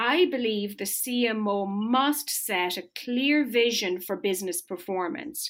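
Speaking with an Irish accent, a woman uses a fairly high pitch and lively intonation. She goes at a very slow pace. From rural Ireland. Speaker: marketing executive. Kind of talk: interview. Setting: remote call.

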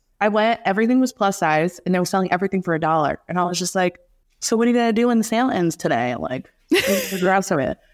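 A woman with an American accent speaks at a medium pitch and a very fast pace. Her intonation is lively, and the recording is very clean with a silent background. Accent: American accent noticed abroad. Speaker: fashion entrepreneur and stylist. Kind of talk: casual interview chat.

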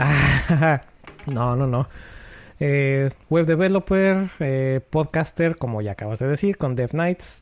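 Speaking at a very slow pace, a man with a Mexican accent uses a fairly high pitch and ordinary pitch variation. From Puebla, Mexico. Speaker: software developer, podcaster. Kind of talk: casual chat. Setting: live stream, remote.

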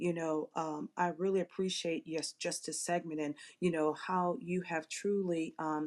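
A woman uses a normal speaking voice at a moderate pace, with ordinary pitch variation and a dry, close sound with no echo. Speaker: audience member. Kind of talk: casual chat. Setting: live audio room online.

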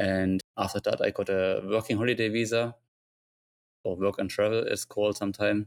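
Man with a German accent, fairly low pitch, monotone and flat, very even loudness, dry and close with no echo. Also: moderate pace. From Germany. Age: 30s. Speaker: dive shop owner and diving instructor. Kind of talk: casual interview.

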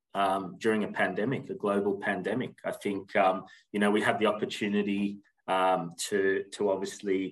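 An Australian accent at a moderate pace. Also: man. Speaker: recruitment agency general manager. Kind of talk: interview. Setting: remote call.

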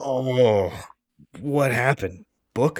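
A man puts on a character voice at a medium pitch. The sound is dry and close, with no echo. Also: ordinary pitch variation.

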